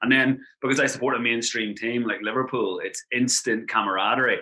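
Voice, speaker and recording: Speaking at a fairly quick pace, a man with an Irish accent keeps to a medium pitch. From Ireland. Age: 30s. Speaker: travel blogger. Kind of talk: casual interview chat. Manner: animated.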